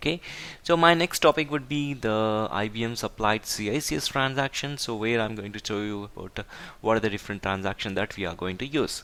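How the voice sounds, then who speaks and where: On a very clean recording with a silent background, a man talks at a fairly quick pace in a bright, sharp tone. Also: fairly low pitch for a man, lively intonation. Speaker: IT tutorial instructor. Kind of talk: tutorial. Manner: halting.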